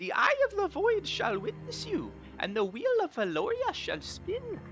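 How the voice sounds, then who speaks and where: Over clear music in the background, a man performs a put-on character voice at an extremely high pitch. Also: moderate pace. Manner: ominous, mystical.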